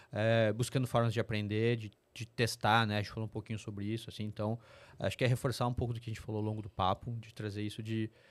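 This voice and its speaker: Very fast, monotone speech from a man at medium pitch, flat in intonation, on a very clean recording with a silent background. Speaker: corporate sustainability executive. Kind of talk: interview podcast.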